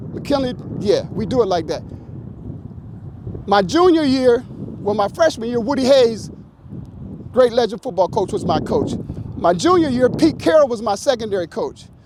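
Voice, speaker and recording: A man's extremely high, animated voice in an American accent, with lively intonation, a moderate pace and long, frequent pauses over noticeable background noise. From US Midwest, Canton, Ohio. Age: 60s. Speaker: former pro football player. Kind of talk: motivational talk to a high school team.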